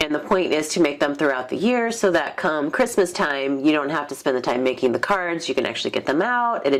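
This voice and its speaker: A woman talks at a fairly quick pace with very wide pitch swings. Noticeable background noise is present. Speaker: card-making YouTuber. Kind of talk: casual craft show-and-tell.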